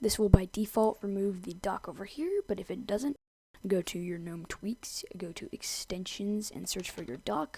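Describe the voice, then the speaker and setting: A woman with a medium-pitched, somewhat breathy voice speaks at a moderate pace. Her intonation is lively. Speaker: tech tutorial creator. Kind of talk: screen-recorded software tutorial narration. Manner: casual.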